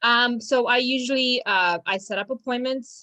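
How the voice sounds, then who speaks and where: A woman is speaking. She has a Romanian accent. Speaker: law firm business manager. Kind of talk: casual interview. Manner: hesitant, many fillers.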